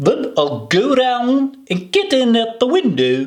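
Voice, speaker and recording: This man puts on a character voice at an extremely high pitch. He talks at a fairly slow pace. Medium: read story. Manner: impatient.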